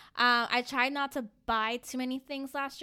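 Recorded very cleanly against a silent background, a woman with an American accent speaks at a moderate pace in a bright, sharp tone. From Northern Virginia, DC suburbs. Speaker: podcast co-host. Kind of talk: casual chat.

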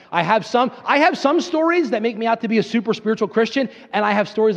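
Noticeable background noise surrounds a man with an American accent. He sounds animated and speaks at a very fast pace. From Pennsylvania, US. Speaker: pastor. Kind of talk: sermon.

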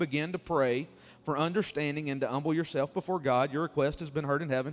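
A man talks with a Mississippi accent at a very fast pace. His voice sits fairly high. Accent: Southern US (Mississippi). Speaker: guest preacher. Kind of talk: sermon. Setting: church.

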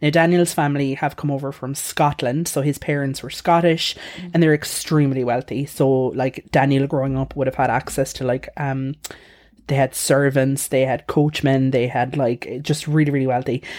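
With an Irish accent, a woman speaks at a moderate pace in a very deep, low pitch. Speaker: podcast host. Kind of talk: casual storytelling chat. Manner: animated.

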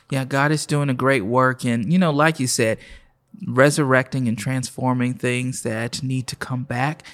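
With an American accent, a man speaks in a plain, everyday voice at medium pitch, keeping a moderate pace and fairly even intonation. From Oklahoma City. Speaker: pastor. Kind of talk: casual interview.

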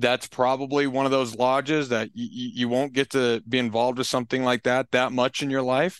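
A man at medium pitch, monotone and flat, at a fairly quick pace with hardly any pauses, against a quiet background. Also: dry, close sound with no echo. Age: 20s. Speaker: fraternal lodge member, social media volunteer. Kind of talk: casual interview. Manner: halting, repeats words.

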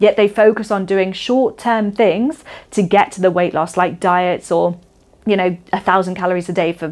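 A woman's animated voice in a Shropshire accent, medium in pitch with ordinary pitch variation, at a moderate pace. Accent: English West Midlands (Shropshire). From Shropshire, England. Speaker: podcast host and women's coach. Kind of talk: solo podcast monologue.

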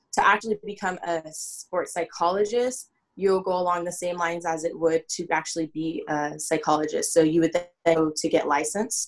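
An unremarkable speaking voice from a woman, fairly low in pitch, at a moderate pace with fairly even intonation. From Southern California. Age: 20s. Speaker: sports psychology consultant. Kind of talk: podcast interview.

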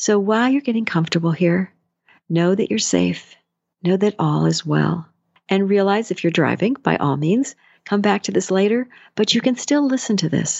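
A woman's ordinary speaking voice at a medium pitch, with very even loudness, lively intonation and a moderate pace. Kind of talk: guided meditation.

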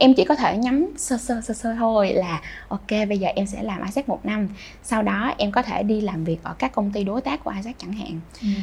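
With noticeable background noise behind her, a woman talks at a fairly quick pace and medium pitch. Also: lively intonation. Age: 20s. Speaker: youth organization leader. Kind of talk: interview.

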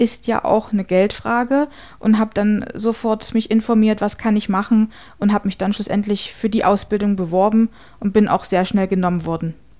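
The tone is dark and mellow, with fairly even intonation and a moderate pace. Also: woman, medium pitch for a woman. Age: 30s. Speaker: paralegal. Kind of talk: testimony.

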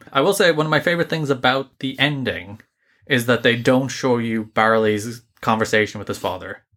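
In an Irish accent, a man talks at a moderate pace and medium pitch with ordinary pitch variation. His tone is bright and sharp on a very clean recording with a silent background. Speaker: podcast co-host, film reviewer. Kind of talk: casual review chat.

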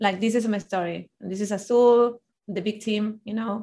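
A woman's fairly even intonation with a Spanish accent. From Argentina. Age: 30s. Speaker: life coach. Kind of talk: interview.

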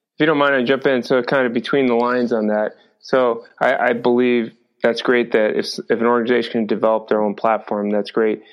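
In a normal speaking voice, a man talks at a fairly quick pace, his intonation fairly even and his loudness very even. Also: medium pitch for a man. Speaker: podcast host and wellness company founder. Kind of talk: podcast interview.

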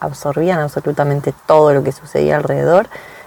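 A woman with an Argentine accent, amid noticeable background noise. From Buenos Aires, Argentina. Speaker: podcast co-host, health coach. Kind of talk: casual chat.

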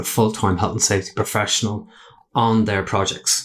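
A man with an Irish accent talks at a moderate pace in a fairly low pitch. His intonation is monotone and flat, and the recording is very clean with a silent background. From Ireland. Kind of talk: casual interview chat. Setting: studio.

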